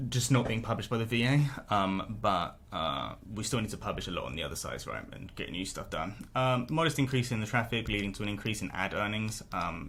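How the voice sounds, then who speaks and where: In a British accent, a man with vocal fry and lively intonation speaks at a fairly quick pace with hardly any pauses, and audible room echo surrounds him. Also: fairly low pitch for a man. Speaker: niche site blogger. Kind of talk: income report vlog. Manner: fast; casual with many fillers.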